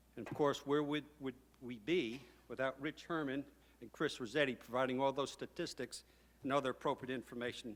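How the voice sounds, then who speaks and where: A man talks in a New York accent at a medium pitch. His pace is moderate and his intonation fairly even. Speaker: hall of fame inductee, former professor and PA announcer. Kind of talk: acceptance speech.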